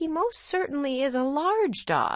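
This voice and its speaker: Putting on a character voice, a woman speaks fairly slowly at a high pitch that swings very widely. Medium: read story. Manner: old-fashioned, proper.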